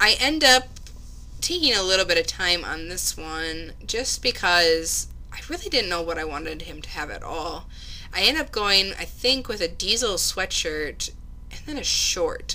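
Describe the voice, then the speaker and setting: The woman keeps a moderate pace. Her speech has noticeable background noise behind it. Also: big swings in loudness. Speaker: gaming YouTuber. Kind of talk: gameplay commentary. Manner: casual, filler-heavy.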